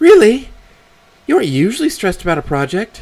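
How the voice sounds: Using a put-on character voice, a man with high pitch talks at a fairly quick pace with vocal fry, very wide pitch swings and a slightly mellow tone.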